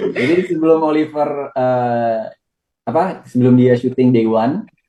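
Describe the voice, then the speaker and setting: In a plain, everyday voice, a man speaks at a fairly slow pace. His medium pitch shows ordinary variation. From Bali. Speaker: actor. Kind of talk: TV interview.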